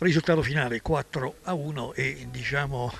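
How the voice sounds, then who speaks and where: A man with vocal fry and ordinary pitch variation is heard in a dry sound with no echo and light background noise. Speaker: local sports reporter. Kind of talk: live sports commentary. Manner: rising intensity on goals, rattling off player names. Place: stadium. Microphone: handheld.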